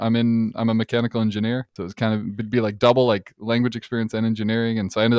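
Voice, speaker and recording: Speaking at a very fast pace, a man with a Midwestern US accent talks in a medium pitch. The recording is dry and close, with no echo. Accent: US Midwest. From Detroit suburbs, Michigan, US. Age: 20s. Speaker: mechanical engineer and content creator. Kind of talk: casual chat.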